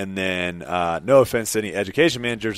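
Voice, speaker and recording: On a very clean recording with a silent background, a man has an unremarkable speaking voice in an American accent. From US South, Jacksonville, Florida. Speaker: professional ultimate frisbee player. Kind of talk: casual interview chat.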